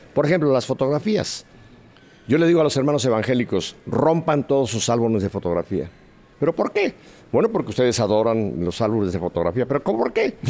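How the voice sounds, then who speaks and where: A man talks at a medium pitch and a fairly quick pace, with very wide pitch swings and very even loudness. Noticeable background noise is present. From Mexico City. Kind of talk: testimony.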